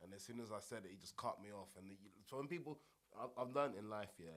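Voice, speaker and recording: A man with a Buckinghamshire accent, fairly low pitch, ordinary pitch variation and a very fast pace. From High Wycombe, Buckinghamshire, England. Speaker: rapper. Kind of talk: casual chat.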